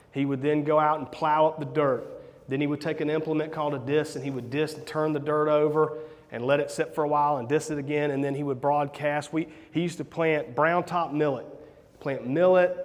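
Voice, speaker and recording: A man with a Southern US accent speaks in a fairly high voice at a fairly quick pace, his intonation monotone and flat. Noticeable background noise and audible room echo surround him. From US South, South Carolina. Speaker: real estate investor and coach. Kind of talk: conference talk. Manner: casual, hesitant with repeated words.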